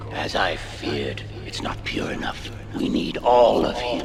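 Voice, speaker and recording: Amid loud background noise, a man uses a put-on character voice at a fairly slow pace. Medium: short film.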